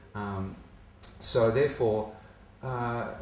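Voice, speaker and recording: Amid noticeable background noise and audible room echo, a man with an Australian accent speaks at a fairly low pitch. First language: not English. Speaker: comedian. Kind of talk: casual chat. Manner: halting.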